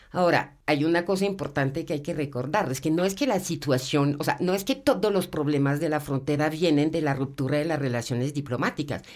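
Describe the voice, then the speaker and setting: Speaking at a fairly quick pace with hardly any pauses, a woman uses a very deep, low pitch and ordinary pitch variation. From abroad, not Colombia. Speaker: university professor. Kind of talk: panel discussion.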